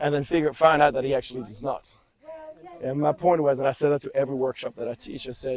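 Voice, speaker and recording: Talking at a very fast pace with fairly even intonation, a man with a fairly high pitch swings widely in loudness against noticeable background noise. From France. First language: French. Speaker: movement instructor and personal trainer. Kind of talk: casual conversation. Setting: outdoors on a hike. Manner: halting, with fillers and repetitions.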